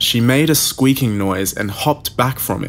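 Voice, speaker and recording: A man's dramatic tone with vocal fry at a fairly slow pace. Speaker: creepypasta narrator. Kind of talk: scripted first-person horror story narration. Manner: tense, hushed suspenseful storytelling with slow dramatic build.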